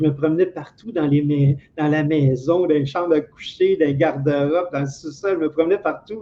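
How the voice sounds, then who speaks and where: Moderate pace in a Quebec accent, fairly even intonation and hardly any pauses. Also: man, fairly high pitch for a man. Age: 60s. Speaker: interview guest, retired telephone technician. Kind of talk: life story interview. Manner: hesitant, many fillers and repetitions.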